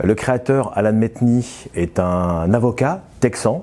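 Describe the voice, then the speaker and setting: A man speaks at a medium pitch with ordinary pitch variation. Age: 60s. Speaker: business owner. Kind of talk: interview. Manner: hesitant, frequent filler sounds.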